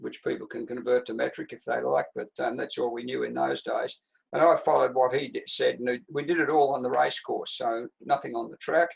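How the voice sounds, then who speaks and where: Using an Australian accent, a man talks at a fairly quick pace with big swings in loudness. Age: 80s+. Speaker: retired distance runner and coach. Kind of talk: interview answer.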